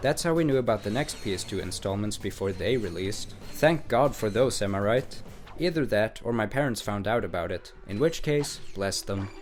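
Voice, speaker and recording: Over music in the background, a man with a fairly low pitch and lively intonation keeps a moderate pace with hardly any pauses. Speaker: gaming YouTuber. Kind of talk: scripted video essay narration.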